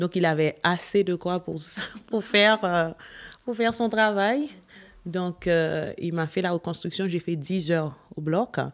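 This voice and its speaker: A woman speaks at a very slow pace in a fairly low pitch, with long, frequent pauses and ordinary pitch variation. The recording is very clean, with a silent background. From sunny non-European country. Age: 30s. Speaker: cancer survivor. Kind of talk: testimony.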